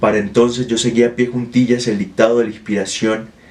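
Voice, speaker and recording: A man talks at a fairly quick pace and medium pitch, his intonation monotone and flat. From Colombia, Ocaña (Norte de Santander). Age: 20s. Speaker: poet. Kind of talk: personal testimony, prepared narration. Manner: formal, literary.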